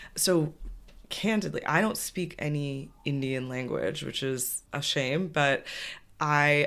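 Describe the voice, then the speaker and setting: On a very clean recording with a silent background, a woman with an American accent speaks at a very deep, low pitch with ordinary pitch variation. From US West Coast, Bay Area California. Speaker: yoga teacher. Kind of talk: podcast interview. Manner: animated.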